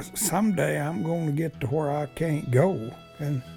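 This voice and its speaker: With music in the background, a man in a West Texas accent speaks fairly slowly at a fairly high pitch with lively intonation. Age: 80s+. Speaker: ranch cowboy. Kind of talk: interview answer. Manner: slow, folksy.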